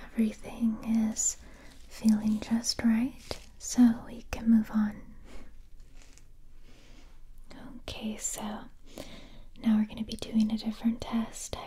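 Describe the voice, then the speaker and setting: A soft-spoken woman talks at a fairly slow pace in a monotone, flat intonation, with long, frequent pauses. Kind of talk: soft-spoken roleplay. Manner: soft, close, hushed ASMR voice. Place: home room.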